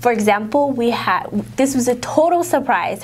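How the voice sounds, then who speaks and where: Speaking at a moderate pace, a woman uses a high pitch and lively intonation. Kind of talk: interview conversation. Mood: cheerful, proud. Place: studio. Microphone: lapel.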